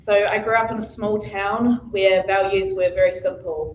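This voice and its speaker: A soft-spoken woman with a New Zealand accent, a medium pitch and ordinary pitch variation. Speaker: election candidate, business owner. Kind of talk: public speech at candidates forum.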